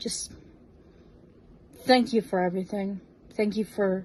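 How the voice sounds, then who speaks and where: Here a woman speaks with an American accent at medium pitch. Her tone is dark and mellow, and somewhat breathy. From US Northeast, New Jersey. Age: 20s. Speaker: fan, drag performer. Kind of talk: recorded video tribute message.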